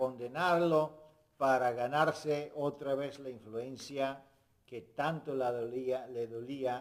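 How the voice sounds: Speaking slowly at a medium pitch, a man keeps his intonation fairly even.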